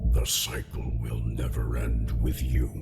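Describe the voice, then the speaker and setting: A man uses a put-on character voice at a fairly slow pace. Loud noise fills the background. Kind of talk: epic heroic baritone. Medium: machinima. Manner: slow, grave, deliberate.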